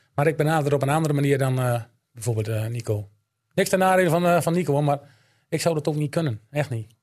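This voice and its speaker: The pitch of this man's voice is fairly high and varies in an ordinary way. He speaks at a very fast pace. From Drenthe, Netherlands (Elim). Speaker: amateur football coach and snack bar owner. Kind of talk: casual chat.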